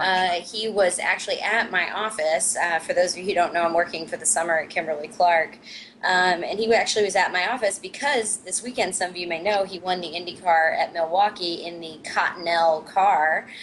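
Speaking with an American accent, a woman keeps a fairly quick pace with hardly any pauses and fairly even intonation, with noticeable background noise behind her. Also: medium pitch for a woman. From US Midwest. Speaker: online talk show co-host. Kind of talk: casual panel discussion. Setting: remote link-up.

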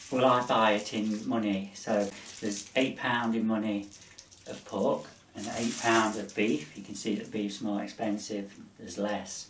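A man talks at a fairly slow pace in a fairly low pitch with fairly even intonation. Light background noise and audible room echo are present. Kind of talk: cooking tutorial. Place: kitchen. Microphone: camera far.

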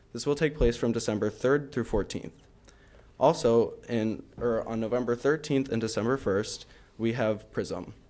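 A man's dark, mellow voice at a moderate pace, with fairly even intonation. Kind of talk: report read aloud. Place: meeting room. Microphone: podium.

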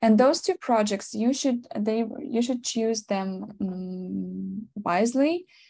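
In a quiet background, a woman with a Ukrainian accent speaks in a fairly high pitch with a dark, mellow tone, ordinary pitch variation and a somewhat breathy quality. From Ukraine. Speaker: product designer; guest. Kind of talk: webinar presentation. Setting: video call. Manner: giggly, frequent laughter; halting, many fillers. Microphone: video call.

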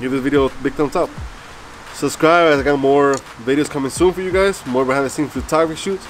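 A man speaks over music in the background. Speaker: gear reviewer. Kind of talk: casual vlog review. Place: garden. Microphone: phone near.

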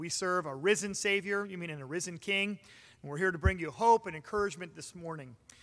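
This man's bright, sharp voice moves at a fairly quick pace with ordinary pitch variation. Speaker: pastor. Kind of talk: sermon. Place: church.

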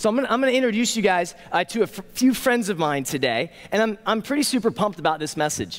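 Speaking at a very fast pace, a man talks with vocal fry. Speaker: pastor. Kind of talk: sermon. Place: stage.

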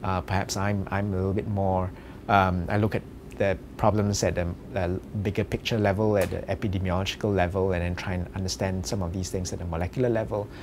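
With a very deep, low pitch and fairly even intonation, a man talks at a fairly quick pace over noticeable background noise. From Singapore. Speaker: medical researcher. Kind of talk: interview. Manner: halting, many fillers. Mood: relaxed, reflective. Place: office.

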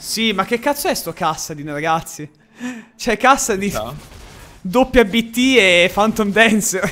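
A man's high, bright, sharp voice, raised and projected, with lively intonation at a very slow pace broken by long, frequent pauses. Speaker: gaming streamer. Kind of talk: live stream commentary.

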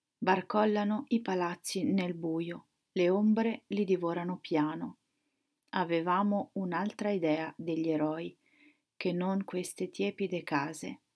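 A woman speaks at a very slow pace, her pitch fairly low with ordinary pitch variation. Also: quiet background. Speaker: poet. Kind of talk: poetry reading aloud. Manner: slow, contemplative, measured. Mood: quiet, reflective, calm. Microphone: webcam.

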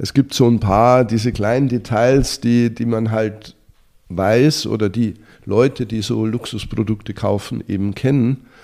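Speaking at a fairly slow pace, a man has a dark, mellow tone and fairly even intonation. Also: medium pitch for a man. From Bavaria, Germany. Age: 50s. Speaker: lifestyle blogger, former investment banker. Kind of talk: interview. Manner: halting, many fillers and repetitions.

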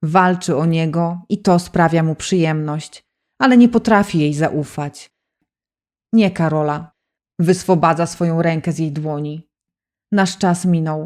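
With ordinary pitch variation, a woman speaks fairly slowly in a fairly low voice. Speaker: audiobook narrator. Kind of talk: audiobook narration, romance, with dramatic emotional passages. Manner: dramatic, emotional, expressive, shifts between narration and dialogue voices.

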